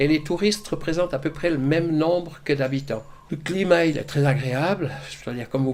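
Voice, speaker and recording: Fairly high in pitch, a man speaks in a plain, everyday voice with ordinary pitch variation. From Switzerland, Gruyère (Fribourg). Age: 60s. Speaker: retiree. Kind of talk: interview.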